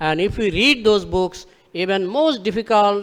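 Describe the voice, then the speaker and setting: A man with a Bengali accent, at a moderate pace. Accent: Indian English, Bengali. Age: 60s. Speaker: religious speaker. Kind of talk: religious lecture.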